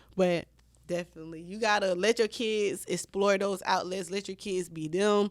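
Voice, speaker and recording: A woman with an animated tone at a moderate pace, on a very clean recording with a silent background. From Florida, US South. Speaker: podcast host. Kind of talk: casual chat.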